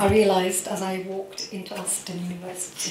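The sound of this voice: A woman speaks at a moderate pace and medium pitch. Strong room echo surrounds her voice.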